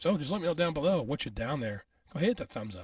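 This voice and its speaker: The speech moves at a very fast pace with very wide pitch swings. The voice is somewhat breathy. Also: man. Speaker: sports talk youtuber. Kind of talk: solo sports commentary vlog. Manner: casual, hesitant with many fillers.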